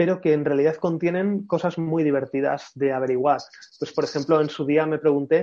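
Speaking in a plain, everyday voice, a fairly high-pitched man keeps fairly even intonation at a fairly quick pace. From Spain, Madrid. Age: 30s. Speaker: brand consultant and writer. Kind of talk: casual interview. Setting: video call.

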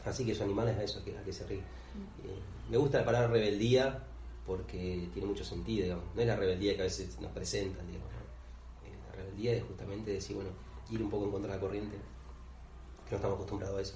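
A man's fairly low voice at a very fast pace with very wide pitch swings, audible room echo and noticeable background noise. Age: 30s. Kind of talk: casual interview. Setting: on location in the parish. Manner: halting, many fillers.

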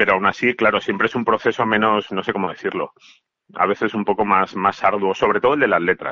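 Moving at a fairly quick pace, a man talks with ordinary pitch variation. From Valencia, Spain. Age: 40s. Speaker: musician. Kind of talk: interview.

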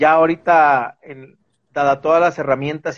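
A man at a moderate pace, fairly high in pitch, with an unremarkable speaking voice. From Mexico, Veracruz. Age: 40s. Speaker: real estate investment manager. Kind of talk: interview on a live stream.

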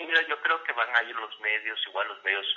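A man with an unremarkable speaking voice talks at a moderate pace, his medium pitch carried by lively intonation. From Mexico, Campeche. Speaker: politician. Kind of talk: interview. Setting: at home, remote call.

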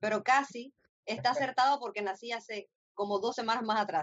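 With a normal speaking voice, a woman talks at a moderate pace in a fairly high pitch with ordinary pitch variation. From Cuba, Camagüey. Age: 30s. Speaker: radio co-host. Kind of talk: casual chat.

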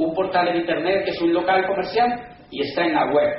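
A man talks in an animated tone at a fairly quick pace. Audible room echo and noticeable background noise surround him. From Colombia. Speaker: business speaker. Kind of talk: lecture.

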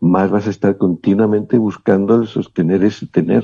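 At a moderate pace, a man speaks with a dark, mellow tone at a fairly low pitch. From Spain, León. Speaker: body therapist and author. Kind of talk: interview.

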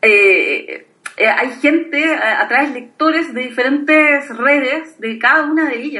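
A woman projects a raised, high-pitched voice with lively intonation, and audible echo fills the room. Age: 30s. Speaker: blogger. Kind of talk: casual chat.

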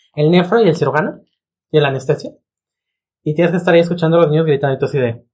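Very fast speech broken up by long, frequent pauses. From Jalisco, Mexico. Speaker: physician podcast host. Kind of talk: casual chat.

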